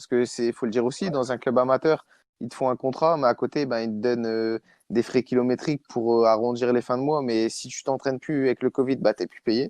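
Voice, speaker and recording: Against a quiet background, a man at medium pitch keeps a fairly even intonation while his loudness swings widely, recorded in a dry, close sound with no echo. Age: 20s. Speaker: amateur footballer. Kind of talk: casual chat. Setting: podcast recording. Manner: halting.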